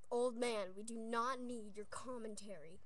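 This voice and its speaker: The pace is very slow. The sound is dry, with no echo. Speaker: dog owner. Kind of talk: casual talk to camera. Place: home room. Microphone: webcam.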